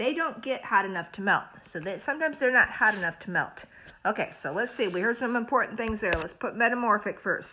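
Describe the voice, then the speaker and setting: A woman at a very fast pace and a fairly high pitch, with lively intonation and light background noise. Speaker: school librarian or teacher. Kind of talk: reading aloud lesson for children. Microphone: phone near.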